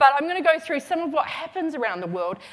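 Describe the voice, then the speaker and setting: A woman with a slight Australian accent and very wide pitch swings, over noticeable background noise. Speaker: retail consultant, keynote speaker. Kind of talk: conference keynote. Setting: stage with audience. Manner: casual, with many fillers.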